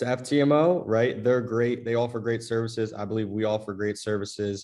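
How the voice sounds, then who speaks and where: A man speaks at a moderate pace with a medium pitch. The background is quiet. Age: 20s. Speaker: trading firm ceo. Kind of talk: interview. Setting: video call. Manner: casual, filler words. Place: home room. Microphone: video call.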